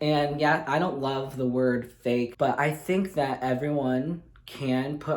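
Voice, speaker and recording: A man with a Midwestern US accent speaks very slowly at a fairly high pitch. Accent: General American (Midwestern). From Michigan, USA. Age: 20s. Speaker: speech language pathology graduate student. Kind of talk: reality show audition tape to camera. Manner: upbeat.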